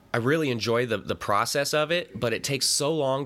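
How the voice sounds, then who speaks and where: A man with a Pacific Northwest accent speaks at a moderate pace with ordinary pitch variation and a bright, sharp tone. The recording is very clean, with a silent background. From US Pacific Northwest, Central Washington. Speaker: podcast host, movie commentator. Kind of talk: casual solo movie commentary.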